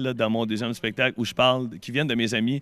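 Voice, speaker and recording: This man talks at a very fast pace. He has a Quebec accent. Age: 30s. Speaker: comedian. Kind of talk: interview.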